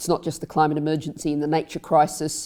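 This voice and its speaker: In an Australian accent, a woman speaks with a very deep, low pitch and a dark, mellow tone. Her intonation is flat and monotone, on a very clean recording with a silent background. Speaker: member of the House of Lords, politician. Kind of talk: panel discussion.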